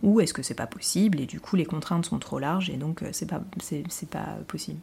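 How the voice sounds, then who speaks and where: The recording is very clean with a silent background, carrying a dark, mellow tone with vocal fry and ordinary pitch variation. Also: woman. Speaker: podcast host and business owner. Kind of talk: solo podcast monologue. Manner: hesitant, many fillers. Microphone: new podcast equipment, improved sound.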